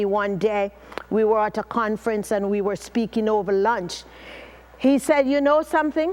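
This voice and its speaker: With a Jamaican accent, a woman speaks at a moderate pace. She uses ordinary pitch variation. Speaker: motivational speaker. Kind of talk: motivational talk. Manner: animated.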